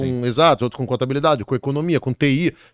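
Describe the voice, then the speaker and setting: A man's voice with ordinary pitch variation, dry with no echo, against a quiet background. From Brazil, Rio de Janeiro. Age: 50s. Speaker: exam prep author and teacher; teacher. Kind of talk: casual interview chat. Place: studio. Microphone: studio mic.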